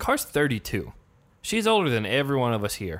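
Set against a silent background in a very clean recording, a man with an American accent swings widely in pitch. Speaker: podcast host. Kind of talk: casual chat.

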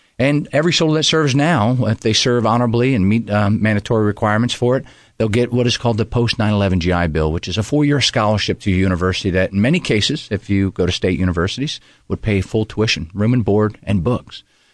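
Very fast delivery in a Pennsylvania accent with hardly any pauses, very even loudness and a quiet background. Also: man, fairly low pitch for a man. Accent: Pennsylvania American. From Pennsylvania, Poconos. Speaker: senior army soldier. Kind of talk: radio interview. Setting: studio.

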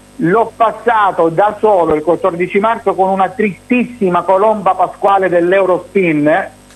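Music plays behind a man with a high-pitched voice. He speaks at a fairly slow pace with very even loudness. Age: 40s. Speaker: TV personality. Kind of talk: interview.

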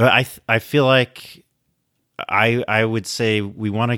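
The man's tone is bright and sharp. The sound is dry and close, without any echo. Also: very clean recording, silent background. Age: 30s. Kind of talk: casual panel discussion. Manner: halting.

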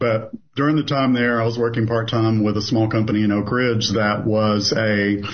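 A man with an American accent speaks at a fairly quick pace in a fairly low pitch. His intonation is monotone and flat, and his voice is somewhat breathy. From US South, southeastern Kentucky. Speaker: business owner, consulting company CEO. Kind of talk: interview.

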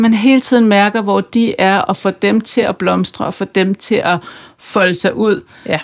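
A woman's normal speaking voice at medium pitch, fairly slow, with ordinary pitch variation, in a very clean recording with a silent background. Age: 40s. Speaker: podcast host and author. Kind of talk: interview conversation; scripted introduction.

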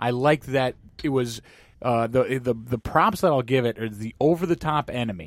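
A man's normal speaking voice at medium pitch and moderate pace, with ordinary pitch variation, dry, close sound with no echo, and a very clean recording over a silent background. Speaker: podcast host. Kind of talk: casual chat.

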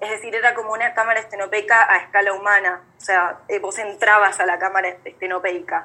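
Speaking at a fairly quick pace, a woman holds a medium pitch in a monotone, flat intonation. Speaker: young photographer. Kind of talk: casual chat. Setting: video call. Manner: halting.

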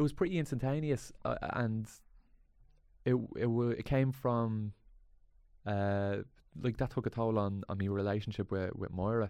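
Against a quiet background, a man with a medium pitch and a dark, mellow tone talks at a moderate pace with ordinary pitch variation and long, frequent pauses. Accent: Dublin. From Ireland, Dublin inner city. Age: 30s. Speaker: comedy actor. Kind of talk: casual chat.

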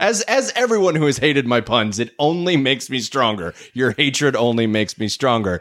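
With an unremarkable speaking voice, a man talks at a fairly quick pace with hardly any pauses, his pitch medium. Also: lively intonation. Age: 30s. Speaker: film podcast host. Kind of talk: casual chat.

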